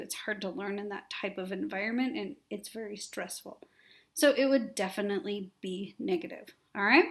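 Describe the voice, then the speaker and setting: This is a plain, everyday voice from a woman, fairly high in pitch. She talks at a moderate pace with ordinary pitch variation. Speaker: teacher. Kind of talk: lecture. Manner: casual, conversational.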